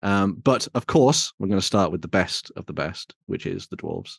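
With a West Midlands accent, a man talks in a fairly low voice with lively intonation, the sound dry and close with no echo against a quiet background. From West Midlands, England. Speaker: tabletop wargaming show host. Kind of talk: casual chat.

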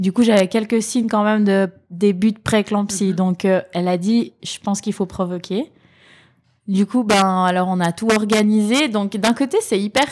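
A woman's unremarkable speaking voice at medium pitch and a fairly slow pace, with fairly even intonation, on a very clean recording with a silent background. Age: 30s. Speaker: mother of a child with cancer. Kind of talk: testimony. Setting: at her mother's home.

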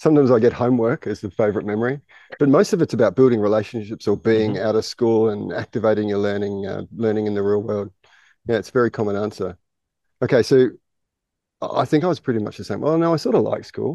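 In an Australian accent, a man talks at a very fast pace with a medium pitch, a dark, mellow tone and ordinary pitch variation, the sound dry and close with no echo against a quiet background. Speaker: podcast host, school head of teaching. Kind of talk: casual interview. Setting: outdoors on a jungle school campus.

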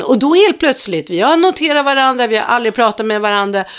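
A woman talks at a fairly quick pace. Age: 60s. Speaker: podcast co-host. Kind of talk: casual chat.

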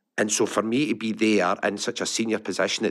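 A man with a Lanarkshire accent speaks at a medium pitch in a very clean recording with a silent background. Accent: Lanarkshire Scottish. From Scotland, Larkhall, Lanarkshire. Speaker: technology business executive. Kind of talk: interview.

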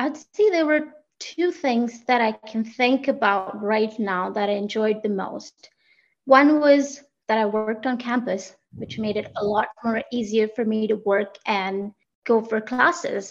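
A woman with an Indian accent speaks at a fairly slow pace in a fairly high voice. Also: ordinary pitch variation. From Rajasthan, India. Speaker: HR coordinator. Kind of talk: casual interview conversation.

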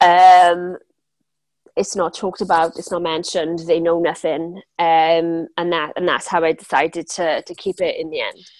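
A woman's fairly low-pitched voice in a Welsh accent, at a moderate pace. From South Wales. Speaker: business coach. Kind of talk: interview.

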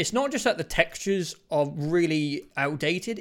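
Lively intonation and a high pitch mark this man's voice. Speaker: gaming podcast co-host. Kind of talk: casual chat.

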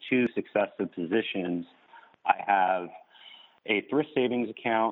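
Using a plain, everyday voice, a man speaks with an American accent at a moderate pace. His medium pitch shows ordinary variation. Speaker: caller. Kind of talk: casual chat. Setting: phone call.

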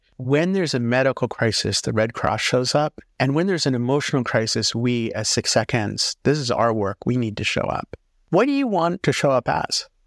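On a very clean recording with a silent background and dry, close sound with no echo, a man with a normal speaking voice talks at a moderate pace, medium in pitch with lively intonation. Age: 50s. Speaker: executive coach and company CEO. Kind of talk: interview.

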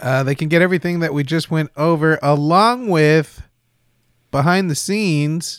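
A man with a plain, everyday voice and an American accent talks at a moderate pace with fairly high pitch and ordinary pitch variation, the sound dry and close with no echo on a very clean recording with a silent background. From Texas. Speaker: podcast editor and co-host. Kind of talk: casual chat.

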